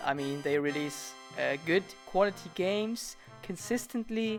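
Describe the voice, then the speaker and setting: A man with a non-native accent and lively intonation, at a fairly slow pace over music in the background. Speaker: animator and video creator. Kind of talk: casual Q&A talk to camera.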